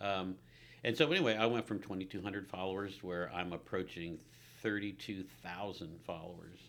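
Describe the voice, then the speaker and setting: Pitched very deep and low, a man speaks with fairly even intonation while his loudness swings a great deal. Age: 60s. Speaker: realtor and historic home advocate. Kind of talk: casual chat.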